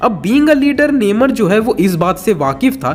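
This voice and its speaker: A high-pitched man with lively intonation at a moderate pace, over noticeable background noise. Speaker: YouTube movie explainer. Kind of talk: scripted narration.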